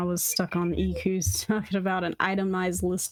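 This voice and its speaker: This voice belongs to a woman. She speaks with an American accent. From Alabama, US South. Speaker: game master. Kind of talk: casual chat.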